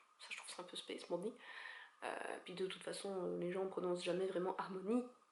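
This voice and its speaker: A woman's medium-pitched voice at a fairly quick pace, with audible room echo. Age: 20s. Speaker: beauty youtuber. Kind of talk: casual vlog.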